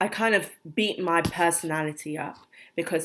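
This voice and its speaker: Someone with a British accent speaks at a moderate pace on a very clean recording with a silent background. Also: woman. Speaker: vlogger. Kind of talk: personal vlog. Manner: soft-spoken; halting, many fillers.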